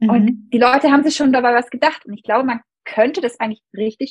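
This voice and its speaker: The delivery uses a normal speaking voice at a fairly quick pace. The sound is dry and close, with no echo. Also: woman. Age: 30s. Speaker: dentist and medical student. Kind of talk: casual interview.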